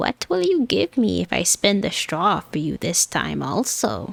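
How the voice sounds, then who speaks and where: Using a put-on character voice, a woman talks at a moderate pace. Her pitch sits fairly low. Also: dry, close sound with no echo. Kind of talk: bedtime story. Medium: virtual streamer.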